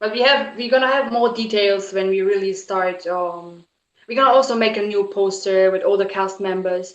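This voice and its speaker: A woman of medium pitch speaks with a non-native accent and ordinary pitch variation. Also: moderate pace. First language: not English. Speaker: author and film producer. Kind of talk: casual interview chat.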